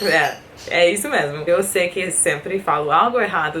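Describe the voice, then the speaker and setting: Over noticeable background noise, a woman with a fairly low pitch speaks at a fairly slow pace. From USA. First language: English (speaking Portuguese). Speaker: vlogger. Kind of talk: casual vlog.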